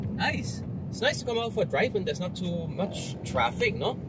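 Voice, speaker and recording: A man is speaking in a dry sound with no echo. Loud background noise runs behind him. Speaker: vlogger. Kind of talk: casual vlog chat. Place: car. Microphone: phone near.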